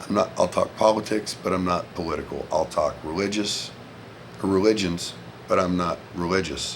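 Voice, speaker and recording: A man with a Southern US accent, over noticeable background noise. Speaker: vlogger, former Marine. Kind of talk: casual monologue vlog. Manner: loud.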